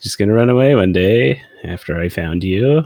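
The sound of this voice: A man speaks at a moderate pace with a fairly low pitch, vocal fry and a slightly mellow tone. His intonation is lively, and the sound is dry and close with no echo.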